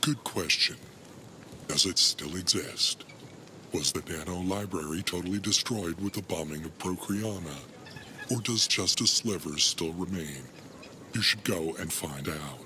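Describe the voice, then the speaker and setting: Over clear background noise, a man puts on a character voice with a very deep, low pitch, a moderate pace and long, frequent pauses. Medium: video game. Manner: solemn, measured, humorless.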